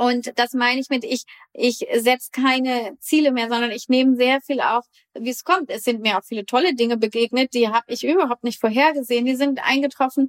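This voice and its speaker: Her voice high in pitch, a woman talks with fairly even intonation. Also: fairly quick pace. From northern Germany (Bremen). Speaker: winemaker. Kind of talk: interview.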